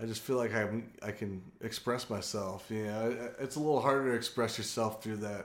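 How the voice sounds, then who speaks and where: A man with an American accent talks at a fairly quick pace and medium pitch. His intonation is fairly even, with audible room echo. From San Diego, California. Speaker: biochemistry professor. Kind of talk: casual interview.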